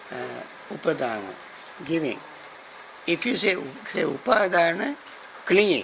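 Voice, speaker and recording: Over light background noise, a high-pitched man speaks with long, frequent pauses. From Sri Lanka. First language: Sinhala. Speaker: Buddhist monk and teacher; teacher. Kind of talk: dharma class lecture. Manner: halting, repeats and restarts words. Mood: warm, smiling. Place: classroom.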